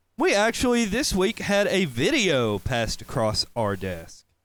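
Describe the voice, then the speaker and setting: A man with a slight Southern accent talks at a fairly slow pace, his pitch swinging very widely. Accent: slight southern drawl. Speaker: podcast host. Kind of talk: casual chat.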